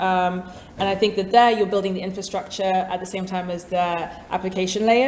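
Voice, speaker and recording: The delivery is very fast and flat, held in a monotone. Noticeable background noise and audible room echo fill the recording. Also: woman. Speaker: startup executive. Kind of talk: panel discussion.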